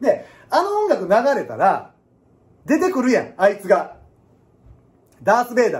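In a Kansai accent, a man talks in an animated tone at a moderate pace, with long, frequent pauses and big swings in loudness. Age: 30s. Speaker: piano teacher. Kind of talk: casual lecture. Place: classroom. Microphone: phone near.

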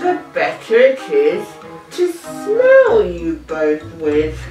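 A hoarse, put-on character voice at a very slow pace, with a slight echo and clear music in the background.

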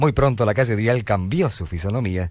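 A man talks in a fairly low voice with lively intonation at a moderate pace. The sound is dry with no echo, over light background noise. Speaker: radio announcer. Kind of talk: scripted radio anniversary narration. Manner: humorous. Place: studio. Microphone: old recording.

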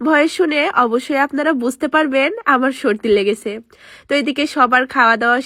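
A woman speaks in a high, bright and sharp tone with ordinary pitch variation. The sound is dry and close, with no echo. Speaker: vlogger. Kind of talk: voice-over narration.

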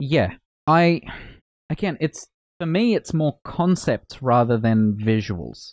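A man with an Australian accent speaks very slowly at a fairly high pitch, with very wide pitch swings and long, frequent pauses. The sound is dry with no echo, and the background is quiet. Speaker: gaming streamer. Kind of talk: casual chat. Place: home room. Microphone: studio mic.

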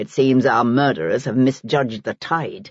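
Soft-spoken yet growling, a man puts on a character voice at a medium pitch, moving at a moderate pace with lively intonation. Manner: soft, quiet, ironic.

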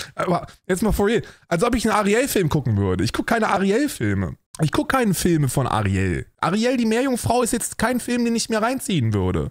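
Against a quiet background, a man talks at a fairly quick pace with very even loudness. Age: 30s. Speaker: streamer reacting to videos. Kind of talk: livestream reaction commentary. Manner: animated. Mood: sarcastic, animated. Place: home room.

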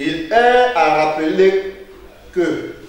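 A man is speaking. Strong room echo surrounds his voice, along with light background noise. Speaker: teacher. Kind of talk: lecture. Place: classroom.

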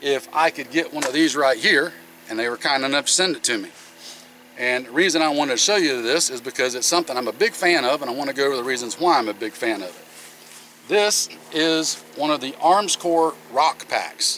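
Against light background noise, a man talks with ordinary pitch variation in a dry sound with no echo. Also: fairly quick pace. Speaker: channel host. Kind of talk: product review vlog. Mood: relaxed, friendly. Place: open country. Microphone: camera far.

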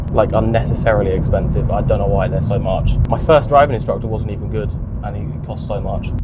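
Loud background noise fills the recording. Over it, a man rattles along very fast. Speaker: young driver vlogger. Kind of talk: casual vlog chat. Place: car. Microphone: lapel.

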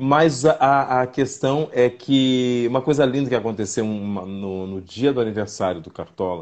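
In a quiet background, a man talks at a moderate pace with ordinary pitch variation. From southern Brazil, Santa Maria, Rio Grande do Sul; Rio Grande do Sul, Brazil. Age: 50s. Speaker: actor. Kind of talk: casual interview. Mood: warm, animated storytelling. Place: home room. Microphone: video call.

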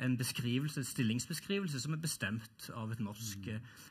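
A somewhat breathy man at a moderate pace, ordinary pitch variation, quiet background. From Norway. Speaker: professor. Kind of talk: panel debate. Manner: halting, repeats words. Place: stage. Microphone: headset.

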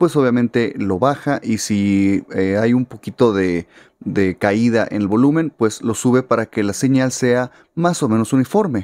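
A man speaks at a fairly slow pace with medium pitch and ordinary pitch variation. The sound is dry with no echo, and the background is quiet. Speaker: musician and audio/guitar teacher; guitar teacher. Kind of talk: tutorial. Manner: casual, conversational. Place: studio. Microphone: studio mic.

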